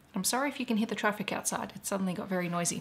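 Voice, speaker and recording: A woman talks with fairly even intonation. Light background noise sits behind her. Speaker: planner sticker vlogger. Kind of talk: casual vlog chat.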